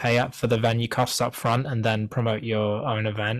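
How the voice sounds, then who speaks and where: He is a man speaking at medium pitch with a British accent. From Wales. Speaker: singer-songwriter. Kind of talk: interview. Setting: video call. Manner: casual, many fillers and restarts.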